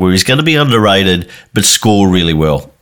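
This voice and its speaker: With an Australian accent, a man talks at a fairly quick pace in a very deep, low pitch with ordinary pitch variation. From Tasmania. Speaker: fantasy football podcaster. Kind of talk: casual chat.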